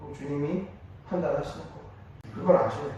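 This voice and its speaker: Recorded with noticeable background noise and audible room echo, a man speaks in a high-pitched voice. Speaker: pastor. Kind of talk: sermon. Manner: conversational, rhetorical questions.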